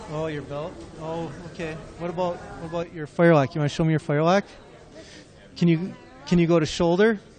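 A man speaks in a high pitch. His pace is very fast. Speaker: historical reenactor. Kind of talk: exhibit presentation. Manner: enthusiastic.

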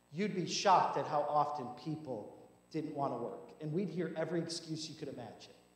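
With audible room echo, a man talks fairly quickly in a fairly high pitch with ordinary pitch variation. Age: 30s. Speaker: pastor. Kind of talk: sermon. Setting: church. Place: church.

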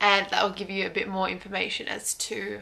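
A woman speaks with an Australian accent. Her pace is moderate. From Brisbane, Australia. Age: young. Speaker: vlogger. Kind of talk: casual talk to camera. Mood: warm, upbeat. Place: home room. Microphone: phone near.

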